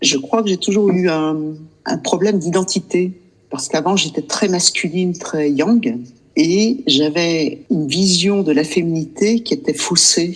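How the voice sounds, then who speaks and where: A woman speaks in a plain, everyday voice at a fairly slow pace. Her fairly low voice has lively intonation. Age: 60s. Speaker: client sharing experience. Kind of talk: interview testimony.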